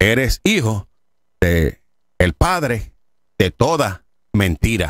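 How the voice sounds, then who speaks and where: A man's voice with very wide pitch swings, dry with no echo, over a quiet background. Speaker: preacher. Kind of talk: sermon. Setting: studio. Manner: animated. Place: studio. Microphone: studio mic.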